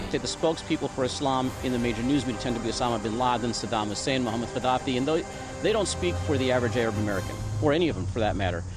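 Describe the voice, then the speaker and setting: Over music in the background, a man at a medium pitch speaks at a very fast pace with ordinary pitch variation and hardly any pauses. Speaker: film director. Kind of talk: interview answer.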